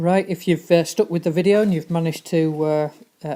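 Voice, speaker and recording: Speaking at a fairly quick pace with a Yorkshire accent, the woman has a fairly low pitch, a dark, mellow tone and fairly even intonation. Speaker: teacher. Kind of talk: informal classroom explanation. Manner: monotone.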